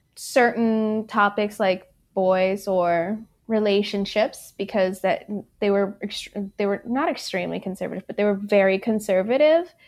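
On a very clean recording with a silent background, a woman speaks at a medium pitch in an unremarkable speaking voice. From Michigan, born in Ethiopia. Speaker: bike event organizer. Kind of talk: interview.

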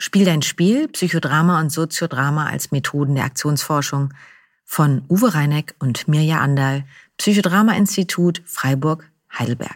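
Recorded dry and close with no echo, a woman with a very deep, low pitch talks at a fairly slow pace with ordinary pitch variation. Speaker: psychodrama practitioner and podcast co-host. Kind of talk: casual chat.

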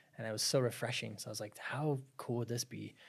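On a very clean recording with a silent background, a man with an American accent talks at a very fast pace, somewhat breathy, with ordinary pitch variation. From Arizona, US. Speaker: business founder. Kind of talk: casual chat.

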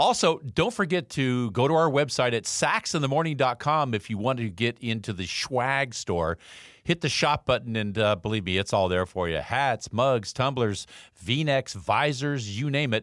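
A man with a normal speaking voice talks at a moderate pace and medium pitch. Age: 60s. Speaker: podcast host and former professional baseball player. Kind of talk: motivational monologue; promo for own merchandise. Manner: upbeat.

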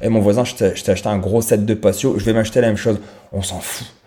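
Fast-ish and flat, a man speaks at a fairly quick pace in a fairly low pitch, with a dark, mellow tone and monotone intonation. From France. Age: 30s. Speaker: podcaster. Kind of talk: solo monologue podcast. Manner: hesitant, many fillers; casual, conversational.

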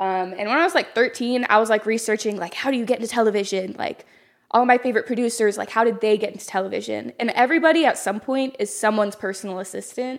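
Very fast female speech in an American accent, fairly high in pitch, with ordinary pitch variation. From North Texas. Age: 20s. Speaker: personal assistant. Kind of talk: casual interview chat. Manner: loud, outspoken.

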